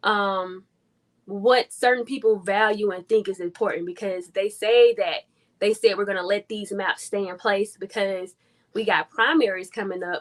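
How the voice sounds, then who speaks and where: A woman has a normal speaking voice at a medium pitch. The sound is dry and close, with no echo. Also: fairly even intonation, moderate pace. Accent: American. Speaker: community organizer. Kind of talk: interview. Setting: livestream.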